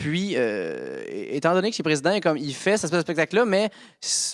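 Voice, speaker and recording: The voice is animated in tone with lively intonation, captured as a dry, close sound with no echo. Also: man. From Quebec. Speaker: stand-up comedian. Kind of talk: casual chat. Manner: fast.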